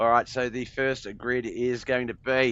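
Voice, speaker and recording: This man speaks with an Australian accent. His voice sits at medium pitch with a bright, sharp tone. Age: 40s. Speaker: sim racing commentator. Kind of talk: live commentary. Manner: animated.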